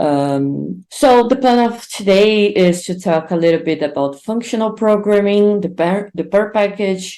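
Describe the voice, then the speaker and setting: Speaking with a Brazilian accent, a woman with a dark, mellow tone and medium pitch moves at a fairly slow pace with hardly any pauses and ordinary pitch variation. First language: Portuguese. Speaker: R instructor and conference speaker. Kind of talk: online conference talk. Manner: hesitant, many fillers.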